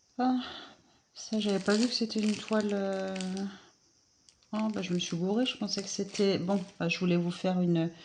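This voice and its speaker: Soft-spoken, a woman with a medium pitch talks at a moderate pace with fairly even intonation and long, frequent pauses. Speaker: craft hobby youtuber. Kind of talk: casual unboxing vlog. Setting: at home, early morning. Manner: hesitant, many fillers.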